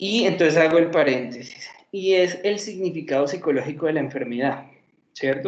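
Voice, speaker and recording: A man speaks with ordinary pitch variation. The room echo is audible. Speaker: psychology lecturer. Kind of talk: lecture. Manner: fast.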